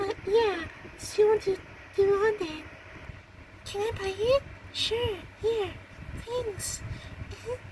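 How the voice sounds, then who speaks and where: A female-sounding, put-on character voice, squeaky and extremely high in pitch. She speaks at a fairly slow pace over clear background noise. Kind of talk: amateur fan roleplay. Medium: audio drama. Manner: halting, hesitant, full of ums and uhs.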